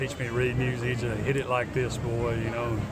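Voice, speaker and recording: A man with a Mississippi accent, medium pitch and monotone, flat intonation, amid audible room echo and noticeable background noise. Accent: Mississippi Southern. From US South, northern Mississippi. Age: 60s. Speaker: blues musician. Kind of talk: casual interview. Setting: outdoors at a farmers market.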